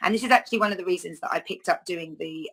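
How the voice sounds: The pace is fast, with vocal fry and a slightly husky edge. The tone is fairly bright. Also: woman.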